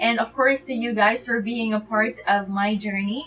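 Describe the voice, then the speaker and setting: At a fairly slow pace, a woman is talking. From Philippines. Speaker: beauty vlogger. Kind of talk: casual vlog outro. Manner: hesitant, with fillers.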